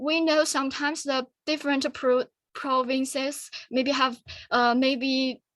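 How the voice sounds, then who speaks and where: The speech moves at a fairly slow pace. Its intonation stays fairly even. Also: woman. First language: Chinese. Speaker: student forum presenter. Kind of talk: Q&A discussion. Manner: halting.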